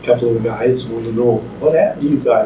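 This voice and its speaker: Noticeable background noise surrounds a speaker with an American accent. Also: man. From Midwestern US. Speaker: war veteran. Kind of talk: interview answer.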